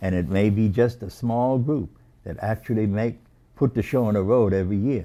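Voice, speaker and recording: Here a man speaks with an American accent and a dark, mellow tone. His pace is moderate and his pitch variation ordinary. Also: fairly low pitch for a man. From Boston, Massachusetts. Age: 80s+. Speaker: civil rights movement veteran. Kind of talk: oral history interview. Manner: halting, many fillers and repetitions.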